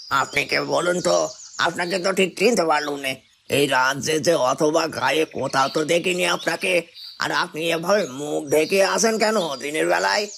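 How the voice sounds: A man does a cartoonish character voice, fairly high and raspy. He keeps a moderate pace with ordinary pitch variation.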